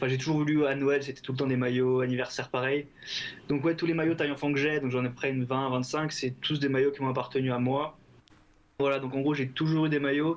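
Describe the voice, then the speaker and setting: This man has a fairly high pitch and monotone, flat intonation. He talks at a fairly quick pace. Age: 20s. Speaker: football shirt collector. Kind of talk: casual interview.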